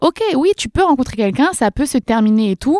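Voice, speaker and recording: A woman speaks in a high pitch. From France, countryside near Dreux (Eure-et-Loir). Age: 20s. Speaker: social media creator. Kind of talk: casual chat. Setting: studio.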